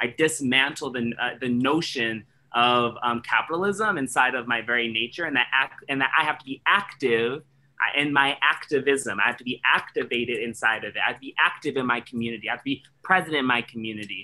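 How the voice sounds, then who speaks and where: With an American accent, a man speaks in a bright, sharp tone with ordinary pitch variation. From Washington DC. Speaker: theatre artistic director; panelist. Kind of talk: panel discussion. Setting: video call. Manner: halting. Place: home room. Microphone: video call.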